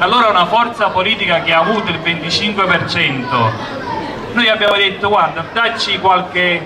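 There is noticeable background noise. A man speaks at a fairly slow pace. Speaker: politician at a rally. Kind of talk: political rally speech. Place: street. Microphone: handheld.

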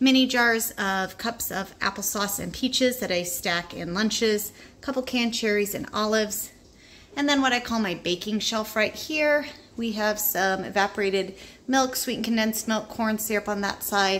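Speaking at a moderate pace, a woman shows ordinary pitch variation. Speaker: home food storage vlogger. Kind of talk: casual tour narration. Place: home room. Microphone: phone near.

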